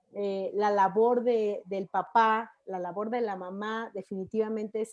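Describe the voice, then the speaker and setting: A woman with a Mexican accent speaks at a fairly slow pace and a fairly high pitch, in a monotone, flat intonation against a quiet background. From Mexico City. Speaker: talk show host, teacher and mother. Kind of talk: live-streamed panel discussion. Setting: video call, live stream.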